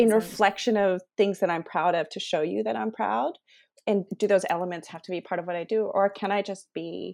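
Over a silent background on a very clean recording, a woman talks at a fairly quick pace with vocal fry. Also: big swings in loudness. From Taiwan. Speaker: arts program director. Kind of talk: casual interview.

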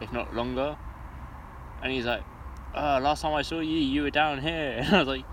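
In a room with audible echo, a man with fairly high pitch talks at a moderate pace, keeping his intonation fairly even and leaving long, frequent pauses. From England, Luton. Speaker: podcast co-host. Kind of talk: casual chat.

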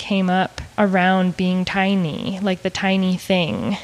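A woman talks with an American accent. Noticeable background noise runs behind her. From Maine, US. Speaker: artist. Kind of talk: casual interview.

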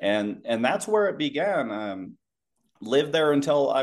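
Here a man speaks with a Western US accent. His pace is moderate. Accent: general American, laid back, Western US. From Utah. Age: 30s. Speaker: former Marine and security contractor. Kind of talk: casual interview. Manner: laid back.

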